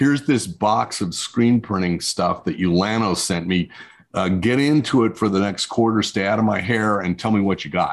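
Over a very clean recording with a silent background, a man with an American accent and an unremarkable speaking voice talks at a moderate pace in a fairly low pitch with ordinary pitch variation. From New Mexico, US Southwest. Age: 60s. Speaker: screen printing business consultant. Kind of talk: interview.

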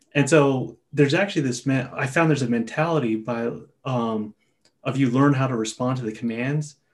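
A man with an unremarkable speaking voice at a medium pitch and a fairly quick pace. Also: fairly even intonation. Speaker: podcast host. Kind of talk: casual chat.

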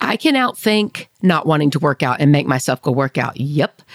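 A woman's animated, fairly slow delivery with very wide pitch swings, in a dry, close sound with no echo. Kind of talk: faith-based monologue. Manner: loud.

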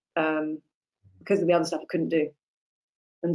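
A woman speaks with a very deep, low pitch and a monotone, flat intonation. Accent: British. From Britain. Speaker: actress. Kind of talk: casual chat.

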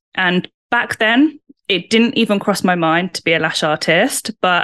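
Lively intonation in a British accent over a quiet background. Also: woman. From UK. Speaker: salon owner and lash trainer. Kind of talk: interview.

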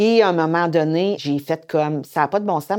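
In a very clean recording with a silent background, a woman speaks in a dark, mellow tone with ordinary pitch variation. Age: 50s. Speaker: domestic violence shelter coordinator. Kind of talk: testimony.

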